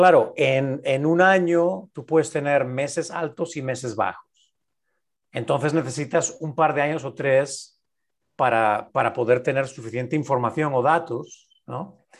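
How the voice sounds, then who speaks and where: Against a quiet background, a man speaks fairly slowly in a normal speaking voice, fairly high in pitch with ordinary pitch variation. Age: 50s. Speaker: business coach and podcast co-host. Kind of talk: casual interview chat.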